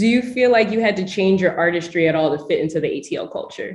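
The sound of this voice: A woman speaks fast with lively intonation and a fairly low pitch, her voice carrying audible room echo.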